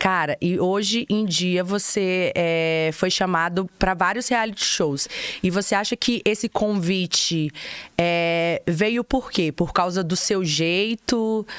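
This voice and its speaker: A woman at a very slow pace with ordinary pitch variation and very even loudness, over a quiet background with a dry sound and no echo. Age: 30s. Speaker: podcast host. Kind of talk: casual chat. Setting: studio. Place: studio. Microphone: studio mic.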